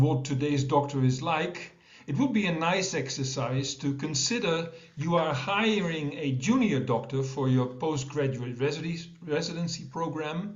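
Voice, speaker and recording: A man with a Dutch accent speaks at a fairly slow pace with hardly any pauses, using a fairly high pitch and ordinary pitch variation. Noticeable background noise and audible room echo are present. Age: 60s. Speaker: professor of medicine. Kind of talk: conference presentation.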